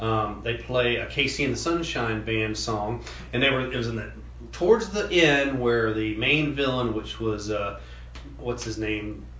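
Audible room echo and noticeable background noise run through the recording. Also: man, fairly slow pace. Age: 50s. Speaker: podcast co-host. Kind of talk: casual chat.

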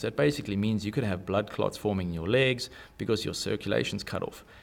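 In a South African accent, a man speaks fairly quickly at a fairly low pitch with ordinary pitch variation, on a very clean recording with a silent background. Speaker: electronics engineer. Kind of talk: interview. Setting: studio.

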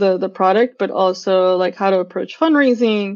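Against a quiet background, the speaker uses a Californian accent with ordinary pitch variation. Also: woman. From San Francisco (SoMa). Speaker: tech product manager. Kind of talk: casual interview.

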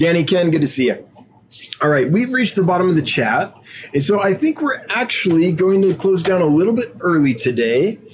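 Over noticeable background noise, a man with a high pitch talks at a fairly quick pace, his pitch swinging very widely while his loudness stays very even. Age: 40s. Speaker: aquarium fish seller and livestream host. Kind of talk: live stream Q&A chat. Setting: live video stream. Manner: animated.

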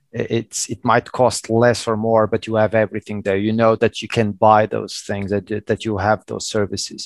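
On a very clean, dry, close recording with no echo and a silent background, a man with a Portuguese accent and a fairly low pitch talks at a moderate pace in a flat monotone. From Portugal (Madeira). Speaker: telecom IT executive. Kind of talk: interview. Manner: halting.

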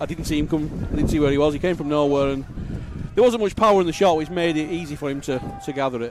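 Against noticeable background noise, a man talks very fast in a fairly high pitch with ordinary pitch variation. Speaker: co-commentator, club supporter. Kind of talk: casual match chat and analysis. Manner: conversational, hesitant, self-correcting.

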